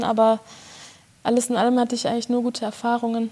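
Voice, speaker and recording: A woman speaks very fast at a high pitch, with noticeable background noise. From Germany, Bochum (Ruhr area). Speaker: concert pianist. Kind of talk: interview. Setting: chamber music hall.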